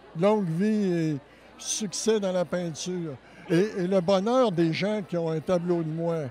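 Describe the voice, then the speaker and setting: A man's high voice at a very slow pace, with ordinary pitch variation and noticeable background noise. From Quebec City area. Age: 60s. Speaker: painter, former art teacher. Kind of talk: interview. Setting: event venue. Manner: halting.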